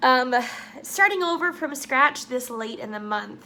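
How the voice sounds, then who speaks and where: A woman speaks in a raised, projected voice with lively intonation. Noticeable background noise runs underneath. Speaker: writing vlogger. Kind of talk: casual vlog. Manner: animated.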